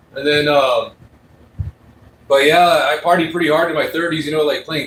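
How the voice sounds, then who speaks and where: Over noticeable background noise, a man talks at a fairly quick pace. His voice is fairly high in pitch, with monotone, flat intonation. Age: 40s. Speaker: livestreamer reacting to news. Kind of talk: casual chat. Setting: home office livestream.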